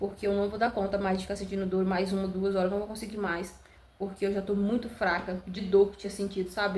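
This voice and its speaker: A woman speaks at a medium pitch and a fairly quick pace, with flat, monotone intonation. Noticeable background noise runs under her voice. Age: 20s. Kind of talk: casual talk to camera, birth story.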